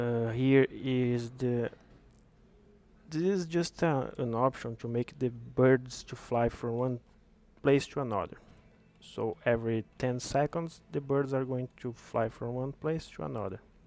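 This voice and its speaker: A man with a non-native accent, medium in pitch, fairly slow, with ordinary pitch variation. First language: not English. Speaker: game developer. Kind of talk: tutorial. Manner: halting.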